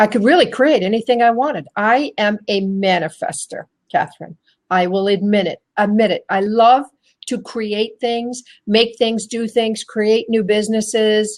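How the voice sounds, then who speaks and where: A woman speaks with an energetic tone and fairly high pitch. Her pitch varies in an ordinary way at a moderate pace. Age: 60s. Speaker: inspirational speaker and women's coach. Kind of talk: interview.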